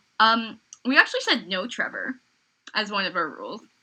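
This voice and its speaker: Loud and delivered at a fairly quick pace, the voice has a bright, sharp tone. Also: woman. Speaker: podcast co-host. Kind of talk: casual chat.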